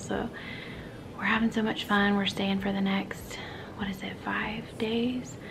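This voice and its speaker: A woman speaking at a moderate pace over noticeable background noise. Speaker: family vlogger. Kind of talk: casual vlog chat. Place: home room. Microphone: phone near.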